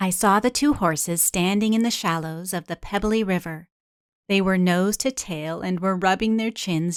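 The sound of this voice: The background is quiet. The delivery is an unforced reading voice with ordinary pitch variation.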